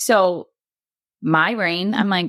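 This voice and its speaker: A woman talks with a Wisconsin accent. The sound is dry and close, with no echo. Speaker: bereaved mother. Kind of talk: podcast interview, personal story.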